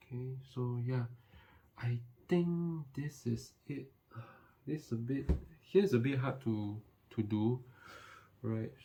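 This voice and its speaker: A man's mumbling, somewhat breathy voice, dark and mellow in tone, medium-pitched with ordinary pitch variation, at a very slow pace broken by long, frequent pauses. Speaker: tech youtuber. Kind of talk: tutorial.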